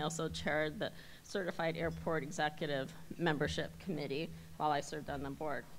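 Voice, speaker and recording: A woman with an American accent talks at a very fast pace, her very deep, low pitch marked by vocal fry. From US Midwest. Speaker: airport executive, election candidate. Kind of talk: campaign speech.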